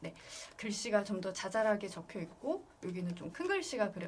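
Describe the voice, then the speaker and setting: A woman speaks at medium pitch with lively intonation. Noticeable background noise runs behind her. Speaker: illustrator teaching an art class. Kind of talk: online class tutorial.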